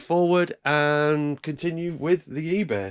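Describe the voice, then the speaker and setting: There's a quiet background behind this speaker. He is a man with an English accent. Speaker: YouTube reseller vlogger. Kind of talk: casual vlog. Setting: indoors, dark room early morning. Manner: hesitant, many fillers; soft-spoken, trying to be quiet.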